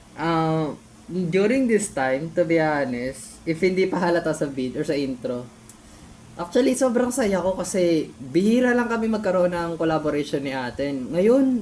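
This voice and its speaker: A woman's fairly low voice at a moderate pace, with very wide pitch swings. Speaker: YouTuber reacting to own old videos. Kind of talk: casual reaction commentary. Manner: animated.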